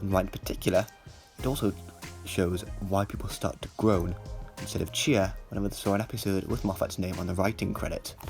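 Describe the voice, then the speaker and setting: Music plays in the background. A man with a fairly low pitch and ordinary pitch variation talks at a fairly quick pace. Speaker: TV episode reviewer. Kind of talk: critical video essay narration. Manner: stammers at times.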